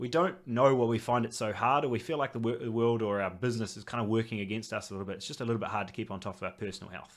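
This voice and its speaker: On a very clean recording with a silent background, a man at medium pitch talks very fast with hardly any pauses and ordinary pitch variation. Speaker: health coach. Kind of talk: presentation.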